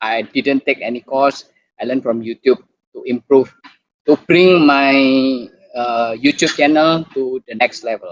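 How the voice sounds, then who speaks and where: Speaking very slowly with an Indonesian accent, a man with a fairly high pitch and ordinary pitch variation is heard in a dry, close sound with no echo. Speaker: doctor and YouTuber. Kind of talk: online talk presentation. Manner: halting.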